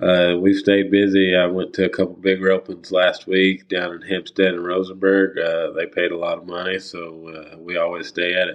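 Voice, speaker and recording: With a Texan accent, a man speaks at a moderate pace in a very deep, low pitch and monotone, flat intonation, with hardly any pauses and big swings in loudness. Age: 20s. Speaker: professional rodeo tie-down roper. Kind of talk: casual interview chat.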